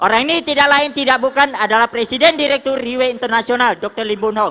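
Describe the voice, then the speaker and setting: Over noticeable background noise, the speaker talks at a very fast pace in an animated tone. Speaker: motivational speaker at business leadership seminar. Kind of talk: motivational stage speech. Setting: stage with audience. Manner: loud.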